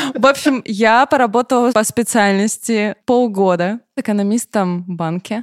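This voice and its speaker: In an ordinary speaking voice, a woman talks at a fairly slow pace and fairly high pitch with hardly any pauses and ordinary pitch variation, the sound dry and close with no echo. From southern Russia, Rostov-on-Don. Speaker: middle manager. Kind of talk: casual chat.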